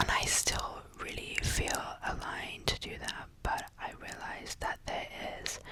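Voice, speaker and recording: Whispering at a fairly slow pace, a woman can be heard through noticeable background noise. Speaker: lifestyle vlogger. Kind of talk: personal video diary. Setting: at home.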